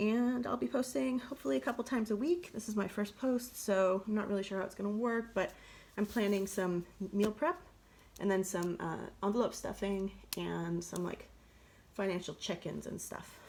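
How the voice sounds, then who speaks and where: Her pitch is medium and her intonation lively. The woman keeps a moderate pace. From United States. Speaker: budget and meal-planning vlogger. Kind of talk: casual vlog talk. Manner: chatty, with many fillers (um, like).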